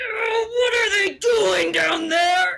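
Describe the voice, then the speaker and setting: Someone is shouting in a put-on character voice at an extremely high pitch. The voice sounds raspy and strained. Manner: speaking through gritted teeth, strained.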